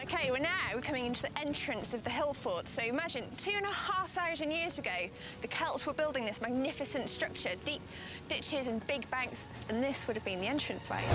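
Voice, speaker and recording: A woman's high-pitched, enthusiastic voice at a fairly quick pace, lively intonation, and music in the background. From north Wales. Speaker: archaeologist and TV presenter. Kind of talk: TV documentary presenting.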